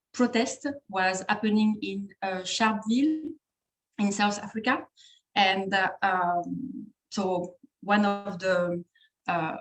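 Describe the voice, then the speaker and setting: A woman with a French accent has a medium pitch and a somewhat breathy voice. She speaks at a very slow pace with long, frequent pauses. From France. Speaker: trainer at an organization, webinar speaker. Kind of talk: webinar presentation. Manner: halting, many fillers and repetitions.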